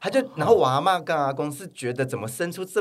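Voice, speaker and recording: The intonation is lively. A man delivers his words at a very fast pace. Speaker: fitness influencer and model. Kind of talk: casual interview chat. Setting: studio.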